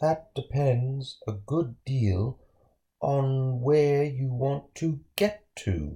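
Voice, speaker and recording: A man's put-on character voice, medium in pitch and very slow in pace. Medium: read story.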